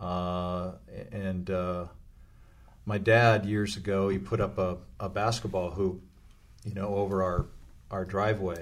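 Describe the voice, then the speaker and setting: Speaking with an American accent, a man with a very deep, low voice talks at a fairly slow pace in a monotone, flat intonation, with long, frequent pauses and audible room echo. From US West Coast, Los Angeles. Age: 60s. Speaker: former pro basketball player and youth club leader. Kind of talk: interview conversation.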